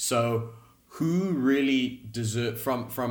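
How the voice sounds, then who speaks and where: There's audible room echo around a man's somewhat breathy, medium-pitched voice, which shows ordinary pitch variation. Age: 20s. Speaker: professional golfer. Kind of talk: podcast interview.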